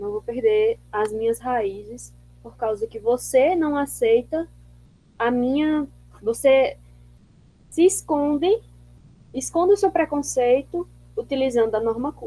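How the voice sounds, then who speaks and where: With a strong northeastern Brazilian accent, a woman speaks very slowly in a high, dark, mellow voice, her intonation lively, her loudness swinging widely and her long pauses coming often. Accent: strong drawling northeastern Brazilian. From Northeast Brazil. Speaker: seminar presenter, education researcher. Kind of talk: academic discussion. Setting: video call.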